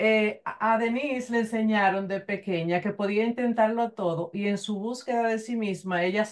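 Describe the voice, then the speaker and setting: In a quiet background, a woman speaks at a fairly slow pace with a fairly high pitch and ordinary pitch variation. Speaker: interview show host. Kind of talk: interview. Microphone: earbuds.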